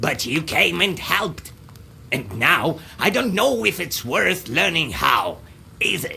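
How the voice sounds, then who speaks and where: A man's put-on character voice, fairly high in pitch and fairly slow, over clear background noise. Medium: video game. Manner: clipped, repeats words, caws.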